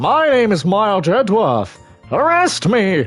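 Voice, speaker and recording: Faint music plays behind a put-on character voice that swings very widely in pitch and moves at a moderate pace. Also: man, high pitch for a man. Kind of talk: posh, refined. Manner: haughty, commanding.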